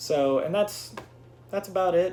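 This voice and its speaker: The man speaks with ordinary pitch variation. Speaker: YouTuber. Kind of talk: casual vlog storytelling. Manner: fast.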